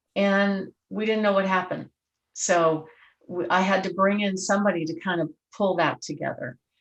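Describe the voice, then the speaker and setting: Speaking at a moderate pace, a woman with an ordinary speaking voice and medium pitch keeps her intonation fairly even. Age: 60s. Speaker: real estate agent. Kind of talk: interview.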